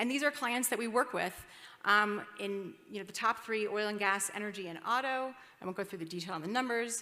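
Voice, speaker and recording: At a fairly quick pace, a woman speaks in a fairly high pitch and a bright, sharp tone, with ordinary pitch variation and big swings in loudness. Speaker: investment banker, conference speaker. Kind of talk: conference presentation. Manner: fast.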